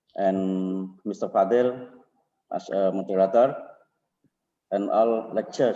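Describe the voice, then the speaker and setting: The man's voice is fairly low in pitch. It carries a dark, mellow tone. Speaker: vice dean giving welcoming speech. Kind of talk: formal welcoming speech. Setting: online webinar.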